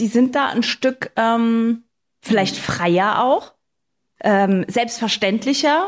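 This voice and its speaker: Her loudness very even, a woman speaks very slowly at a fairly high pitch. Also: ordinary pitch variation. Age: 30s. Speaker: podcast host. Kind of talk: casual chat.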